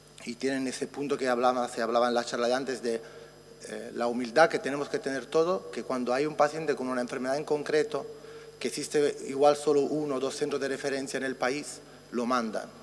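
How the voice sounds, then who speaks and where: A man with a medium pitch and fairly even intonation talks at a fairly quick pace. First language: Italian (speaking Spanish). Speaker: physician researcher. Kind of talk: conference talk.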